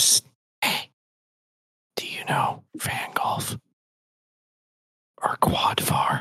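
A whispering, put-on character voice moves at a very slow pace. Long pauses come often. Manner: ominous whisper.

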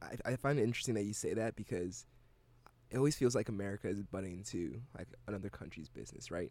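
Talking at a very fast pace, a man uses a dark, mellow tone with vocal fry and ordinary pitch variation. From Ghana. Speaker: university student, radio DJ. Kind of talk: casual conversation. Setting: radio studio.

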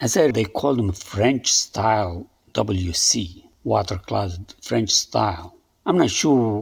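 A man with a strong non-native accent, a fairly low pitch for a man, a somewhat breathy sound and lively intonation. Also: very clean recording, silent background. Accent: thick foreign. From immigrant to the US from a developing country. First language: non-English homeland language. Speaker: podcaster. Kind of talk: personal storytelling monologue. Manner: halting.

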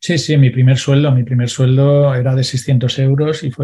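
A man's somewhat breathy voice with a dark, mellow tone, monotone, flat intonation and a moderate pace. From Valencia, Spain. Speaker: financial advisor and entrepreneur. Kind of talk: interview. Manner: halting, with frequent repetitions.

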